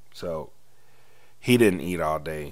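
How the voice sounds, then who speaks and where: Ordinary pitch variation carries this fairly slow delivery, recorded with audible room echo. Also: man. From US South. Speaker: podcast host and youth football coach. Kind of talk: casual monologue. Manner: animated.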